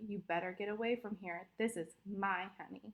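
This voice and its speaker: This put-on character voice is growling and gruff, delivered at a moderate pace. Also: woman, medium pitch for a woman. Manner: growling, gruff.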